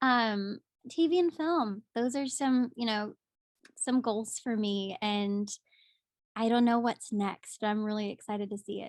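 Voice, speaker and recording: A woman with a strong Southern accent speaks at a fairly slow pace, her fairly high pitch moving with ordinary variation in a dry, close sound with no echo. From US South, Pensacola, Florida. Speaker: musical theatre actress. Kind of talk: casual interview. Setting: video call. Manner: animated.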